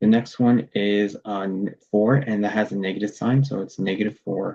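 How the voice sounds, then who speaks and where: A dark, mellow tone with ordinary pitch variation. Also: man. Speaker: math tutor. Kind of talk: tutorial.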